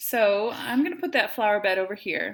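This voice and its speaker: Speaking with a Wisconsin accent, a woman has a fairly high pitch and lively intonation. She keeps a moderate pace on a very clean recording with a silent background. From Wisconsin, US. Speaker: math teacher. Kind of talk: tutorial.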